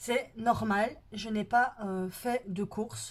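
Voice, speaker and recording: A woman talks at a very slow pace. Her voice is fairly high, with ordinary pitch variation. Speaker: budget planning vlogger. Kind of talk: casual vlog talk to viewers. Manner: hesitant, many fillers.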